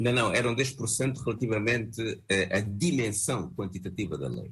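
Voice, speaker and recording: There is vocal fry in this man's medium-pitched voice. He speaks at a moderate pace with lively intonation. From Angola. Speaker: opposition party leader. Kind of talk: televised panel debate.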